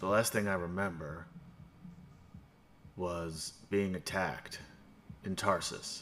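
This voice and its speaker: Over clear background noise, a man in a put-on character voice speaks at a fairly slow pace with very deep, low pitch and long, frequent pauses. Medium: actual play. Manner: gruff, grumbling, insulting.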